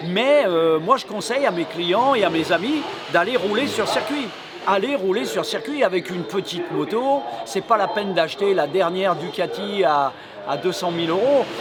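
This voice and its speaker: A man's high voice with very wide pitch swings, at a moderate pace, over noticeable background noise. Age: 60s. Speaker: retired motorcycle racer. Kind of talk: interview. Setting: racetrack event. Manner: hesitant with many fillers.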